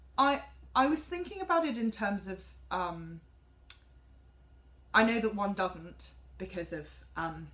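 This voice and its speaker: A woman's fairly high, fry-tinged voice with a southern English accent, very wide pitch swings, and a fairly slow pace. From England, Cambridge. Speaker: music student, soprano singer. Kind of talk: class presentation. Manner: halting.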